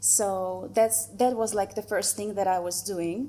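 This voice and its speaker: A woman at a medium pitch speaks in a Russian accent in a very clean recording with a silent background. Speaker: photographer. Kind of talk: presentation. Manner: slow; hesitant, with fillers.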